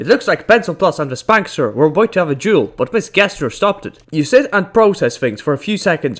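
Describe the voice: Lively intonation over plain aloud reading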